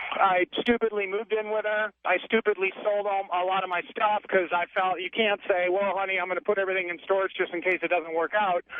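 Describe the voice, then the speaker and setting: A man's high-pitched, monotone, flat delivery at a fairly quick pace with hardly any pauses, over noticeable background noise. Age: 30s. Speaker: caller. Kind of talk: phone-in call. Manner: halting.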